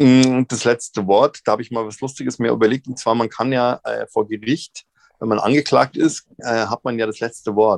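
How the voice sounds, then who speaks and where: In a plain, everyday voice, a man speaks with medium pitch and fairly even intonation at a moderate pace, the sound dry and close with no echo. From Munich, Bavaria. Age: 50s. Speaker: actor and comedian. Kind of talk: casual interview. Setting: virtual studio.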